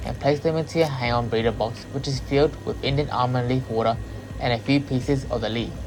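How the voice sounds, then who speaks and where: Music in the background behind a man with an Australian accent, medium pitch, fairly even intonation and a fairly quick pace. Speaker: aquarium hobbyist and fish breeder. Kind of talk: hobby tutorial voice-over.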